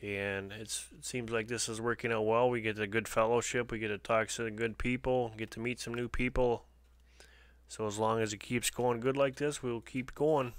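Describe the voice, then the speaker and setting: A man with a Canadian accent speaks at a moderate pace with a medium pitch and a relaxed tone. His intonation is monotone and flat, in a very clean recording with a silent background. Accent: sounds Canadian. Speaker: homesteading livestream host. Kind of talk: live stream chat with viewers. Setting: live stream. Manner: casual, relaxed.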